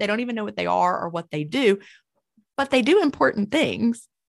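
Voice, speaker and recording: Over a quiet background, a woman at medium pitch talks at a fairly quick pace with vocal fry and lively intonation. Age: 50s. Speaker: author. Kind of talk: interview.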